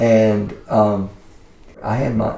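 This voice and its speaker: A man speaks with a Southern US accent. Room echo is audible in the recording. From Mississippi. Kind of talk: interview answer. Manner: casual. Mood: relaxed, warm storytelling. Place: studio.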